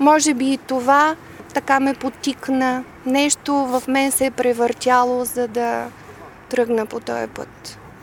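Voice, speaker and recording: A woman talks at a very slow pace in a high pitch. Her intonation is monotone and flat, with noticeable background noise. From Bulgaria, Devnya near Varna. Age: 50s. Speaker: speech therapist and civic activist. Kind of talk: interview.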